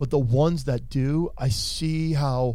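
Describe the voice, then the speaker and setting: Audible room echo surrounds the speaker, a man. He talks at a very slow pace. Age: 40s. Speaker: podcast co-host. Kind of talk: casual chat.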